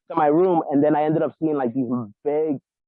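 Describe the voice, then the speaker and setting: The speaker has a New York accent. Intonation stays fairly even. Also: man. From New York, the Bronx. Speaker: interviewee, show caller. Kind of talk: casual chat. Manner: halting, repetitive. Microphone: muffled, sounds underwater.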